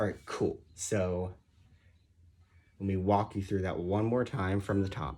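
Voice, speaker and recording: With music in the background, a man talks using ordinary pitch variation. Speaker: guitar teacher. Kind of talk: tutorial.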